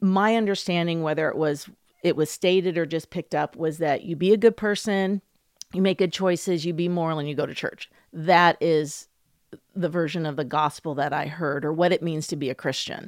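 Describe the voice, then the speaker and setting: Speaking fairly quickly with fairly even intonation, a woman with an American accent has an unremarkable speaking voice and a fairly low pitch, recorded with a dry, close sound and no echo. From US, New Jersey and Tacoma, Washington. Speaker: guest sharing her faith testimony. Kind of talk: testimony.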